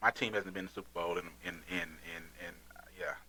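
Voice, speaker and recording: The man's tone is animated. He speaks at a fairly quick pace. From Texas. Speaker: podcast host and pastor. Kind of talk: casual chat.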